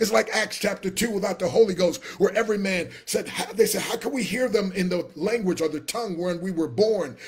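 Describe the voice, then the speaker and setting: A man with a high voice sounds animated, talking at a fairly quick pace with hardly any pauses and ordinary pitch variation. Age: 60s. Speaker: motivational speaker and business coach; motivational speaker, business coach. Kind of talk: live stream sales pitch. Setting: live video stream. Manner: animated, preacher-like. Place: home room. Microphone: webcam.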